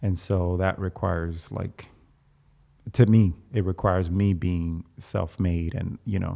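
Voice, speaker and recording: Over a quiet background, a man with a slight Dominican accent speaks at a fairly slow pace with a very deep, low pitch and a dark, mellow tone. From Dominican Republic. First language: Spanish. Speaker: navy veteran turned actor. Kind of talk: casual chat.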